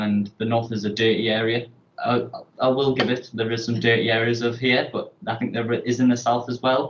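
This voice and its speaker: Speaking fast-ish in a monotone, flat intonation, a man with a northern English accent holds a medium pitch at a fairly quick pace. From northern England. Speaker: student presenting a TV pitch. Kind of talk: presentation pitch.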